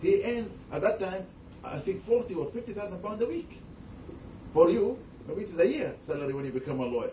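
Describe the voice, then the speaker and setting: A man talks very fast in a high voice, with very wide pitch swings and long, frequent pauses. Noticeable background noise and audible room echo are present. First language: not English. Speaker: Islamic scholar. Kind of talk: religious talk with Q&A. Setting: gathering with audience.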